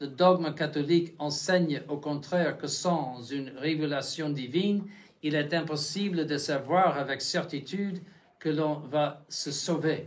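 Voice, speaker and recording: Somewhat breathy and very slow, a man with a fairly high pitch speaks with fairly even intonation in audible room echo. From United States. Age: 70s. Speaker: bishop. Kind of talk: lecture. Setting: chapel. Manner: halting, many restarts and fillers.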